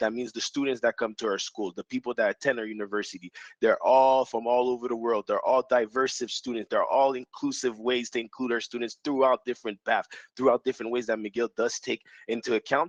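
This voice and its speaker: A man speaks with a Quebec accent at a fairly quick pace. The sound is dry and close, with no echo. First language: French. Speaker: university admissions recruiter. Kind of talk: panel discussion. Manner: halting.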